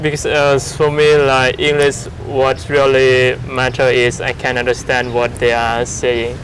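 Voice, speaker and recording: Over noticeable background noise, a man speaks at medium pitch in a monotone, flat way, at a fairly slow pace with hardly any pauses and very even loudness. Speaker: English teacher. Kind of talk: casual conversation. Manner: hesitant, many fillers.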